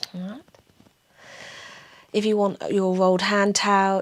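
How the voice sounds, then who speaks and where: In a Somerset accent, a woman speaks with a calm, gentle tone at a medium pitch. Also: very clean recording, silent background. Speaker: pilates instructor. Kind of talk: guided exercise class.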